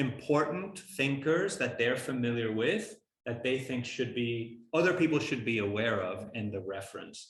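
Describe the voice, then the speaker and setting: Speaking at a moderate pace with hardly any pauses, a man with a medium pitch and a somewhat breathy voice uses lively intonation, with audible room echo around him. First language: not English. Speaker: architecture professor. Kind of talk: lecture Q&A. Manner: halting, many fillers.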